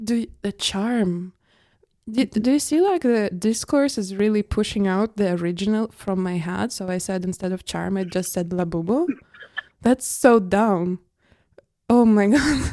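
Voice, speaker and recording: The voice moves at a fairly slow pace. Its tone is dark and mellow. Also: woman, medium pitch for a woman, ordinary pitch variation. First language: not English. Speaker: podcast host. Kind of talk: casual chat. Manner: animated.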